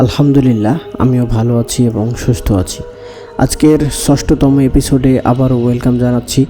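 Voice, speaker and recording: Music plays in the background as a man speaks. His medium pitch follows a fairly even intonation. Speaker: radio-style horror story host. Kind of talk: podcast host intro.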